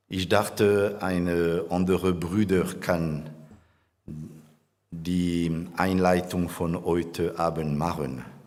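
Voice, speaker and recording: Against audible room echo, a man with a non-native accent speaks very slowly in a very deep, low pitch, his monotone, flat delivery broken by long, frequent pauses. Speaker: church conference host. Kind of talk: conference welcome speech with prayer. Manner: halting, hesitant.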